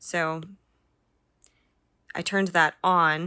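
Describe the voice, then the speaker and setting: The recording is very clean, with a silent background. A woman speaks in a bright, sharp tone at a fairly low pitch with fairly even intonation. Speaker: 3D artist and tutorial creator. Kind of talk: tutorial. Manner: casual, many filler words.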